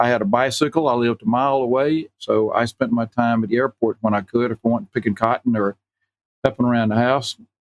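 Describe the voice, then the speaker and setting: A medium-pitched man with a Southern US accent and ordinary pitch variation. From US South, Enterprise, Alabama. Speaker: retired pharmacist and vintage aircraft owner. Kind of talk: interview.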